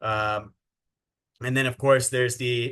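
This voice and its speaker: A man's bright, sharp voice at a medium pitch, fairly slow and monotone in flat intonation, over a quiet background. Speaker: sales trainer. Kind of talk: training webinar.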